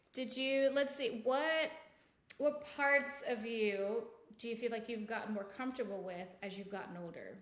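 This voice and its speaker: With a slight Jamaican accent, a woman speaks at a moderate pace in a fairly high voice with ordinary pitch variation and big swings in loudness, in a room with audible echo. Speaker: podcast co-host. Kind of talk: casual chat.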